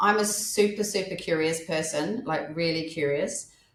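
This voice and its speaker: This woman talks at a moderate pace. Her pitch sits fairly low, with ordinary variation. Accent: Australian. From Australia. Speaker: menopause life coach. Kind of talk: podcast interview. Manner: halting, self-correcting.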